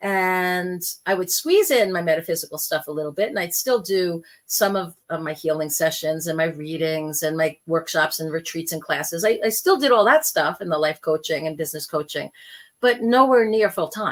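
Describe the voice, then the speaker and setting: On a very clean recording with a silent background, a woman with an unremarkable speaking voice talks at a moderate pace and fairly low pitch. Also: ordinary pitch variation. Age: 60s. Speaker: spiritual podcast host and life coach. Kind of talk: personal monologue podcast. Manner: conversational.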